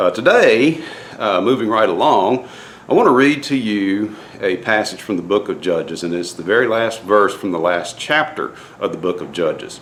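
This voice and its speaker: Lively intonation from a man amid noticeable background noise. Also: medium pitch for a man, moderate pace. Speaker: DIY boat builder and faith vlogger. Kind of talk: casual vlog talk with devotional message. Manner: halting, many fillers.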